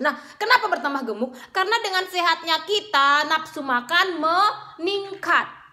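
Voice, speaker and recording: A raised, projected voice with a bright, sharp tone moves at a moderate pace, animated and full of lively intonation, with hardly any pauses over a quiet background. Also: woman, extremely high pitch for a woman. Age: 30s. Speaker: beauty vlogger. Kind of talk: casual vlog monologue. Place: home room. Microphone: phone near.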